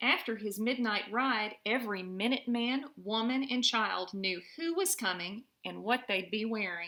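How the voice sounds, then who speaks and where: This is a normal speaking voice from a woman with a fairly high pitch. She talks at a fairly slow pace. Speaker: mother reading to her children. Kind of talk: children's story read-aloud. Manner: warm, friendly.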